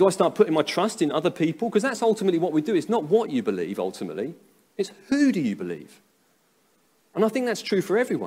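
Talking at a very fast pace, a man with an English accent uses a high pitch and lively intonation. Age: 30s. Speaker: pastor. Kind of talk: sermon. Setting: church. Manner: halting.

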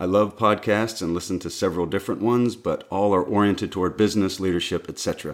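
A man speaks at a very fast pace in an American accent. His pitch is very deep and low. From US South. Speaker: podcast co-host and sound engineer. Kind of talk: casual chat.

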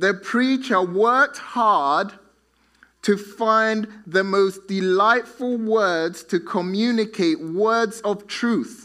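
In a raised, projected voice with a bright, sharp tone, a man speaks at a very slow pace and high pitch, with ordinary pitch variation and very even loudness. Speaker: pastor. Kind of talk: sermon. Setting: church.

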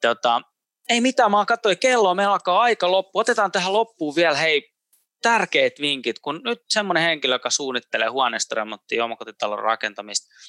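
A man speaks at a moderate pace with a bright, sharp tone and very wide pitch swings. The sound is dry and close, with no echo. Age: 30s. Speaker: podcast host. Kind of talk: interview. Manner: halting.

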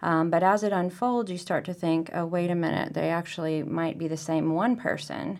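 An ordinary speaking voice, this woman's is fairly low in pitch, moving at a moderate pace with hardly any pauses. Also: fairly even intonation. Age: 40s. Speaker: photographer. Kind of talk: casual interview. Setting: museum.

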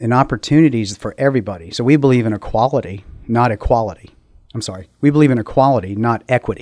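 The speaker talks at a very fast pace in an American accent, with ordinary pitch variation. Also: man, medium pitch for a man. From Maryland, US. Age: 50s. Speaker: school board candidate. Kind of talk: interview.

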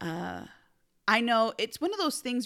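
A woman speaks at a moderate pace. The recording is very clean with a silent background. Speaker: podcast host, mom. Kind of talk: casual chat. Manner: loud; animated.

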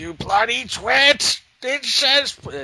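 A man shouts in a put-on character voice. His pitch is extremely high. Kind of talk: British, insulting. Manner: exasperated, shouting.

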